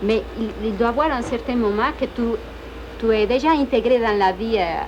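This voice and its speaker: A woman with a fairly high pitch talks at a moderate pace. Her pitch varies in an ordinary way, with noticeable background noise behind her. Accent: Spanish. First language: Spanish (speaking French). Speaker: immigrant student. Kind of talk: interview; casual chat. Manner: halting.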